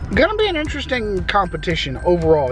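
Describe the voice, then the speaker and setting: Music plays in the background as a man with an American accent talks at a moderate pace, his voice carrying audible room echo. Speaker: football YouTuber. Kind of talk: casual monologue. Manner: animated.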